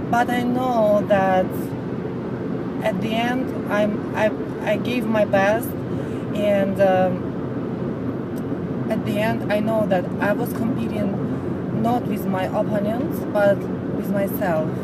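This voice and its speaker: Over loud background noise, a woman speaks very slowly with long, frequent pauses and ordinary pitch variation, in a dry sound with no echo. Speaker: vlogger. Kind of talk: casual vlog chat. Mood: calm, motivational. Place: car. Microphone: phone near.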